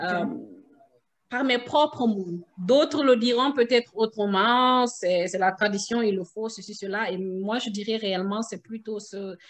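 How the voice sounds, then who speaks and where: A woman at a fairly high pitch, very slow pace and ordinary pitch variation. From Guinea. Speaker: mother. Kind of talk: interview answer. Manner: hesitant, many fillers.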